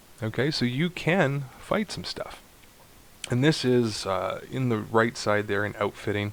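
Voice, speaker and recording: A man at a fairly slow pace with lively intonation amid noticeable background noise. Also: medium pitch for a man. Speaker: video game tutorial creator. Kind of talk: gameplay tutorial. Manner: casual, thinking aloud.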